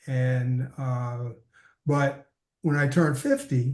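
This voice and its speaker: A man speaks at a fairly high pitch. His delivery is very slow and somewhat breathy. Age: 70s. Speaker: interview guest living with diabetes. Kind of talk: interview, personal testimony. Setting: remote from his office. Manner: halting, many fillers.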